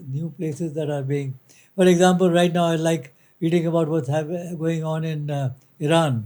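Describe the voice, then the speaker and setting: A man speaks at a moderate pace in a fairly high pitch with a dark, mellow tone. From India, Kolkata (Bengal). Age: 80s+. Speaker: retired company director. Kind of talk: interview. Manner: halting, many fillers.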